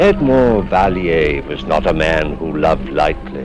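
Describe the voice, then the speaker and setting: A man at a fairly slow pace with very wide pitch swings, music playing in the background. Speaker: actor. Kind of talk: TV horror anthology host introduction.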